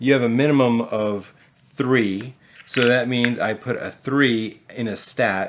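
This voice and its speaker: Speaking in an ordinary speaking voice, a man holds a medium pitch and fairly even intonation. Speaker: board game reviewer. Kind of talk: casual game review and tutorial.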